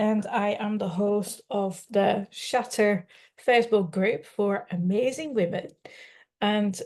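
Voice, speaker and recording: Speaking with a Dutch accent, a woman keeps a medium pitch and fairly even intonation. Her pace is very slow, and the background is quiet. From Netherlands. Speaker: life coach. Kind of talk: live webinar presentation. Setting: live online stream.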